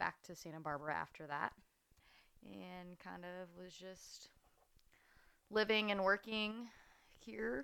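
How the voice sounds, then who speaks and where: A woman with an American accent speaks at a fairly slow pace in a bright, sharp tone. The recording is very clean, with a silent background. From Fresno, California. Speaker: food blogger and podcast host. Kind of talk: casual interview chat.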